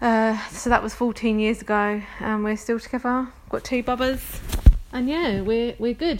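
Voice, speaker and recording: With a London accent, a woman talks at a moderate pace with ordinary pitch variation against noticeable background noise. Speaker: podcast host. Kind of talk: casual chat, solo podcast monologue. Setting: home recording with baby nearby. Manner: casual, chatty, hesitant with fillers.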